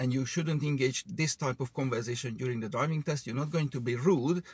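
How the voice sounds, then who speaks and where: Somewhat breathy, a man speaks at a very fast pace with ordinary pitch variation, and the sound is dry with no echo. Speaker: driving instructor. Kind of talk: casual chat. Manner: animated.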